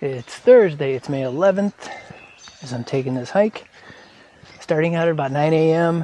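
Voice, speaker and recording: The speaker leaves long, frequent pauses. Background noise is noticeable. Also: moderate pace. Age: 50s. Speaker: hiking vlogger. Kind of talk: casual narration while hiking. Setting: outdoors on a forest trail.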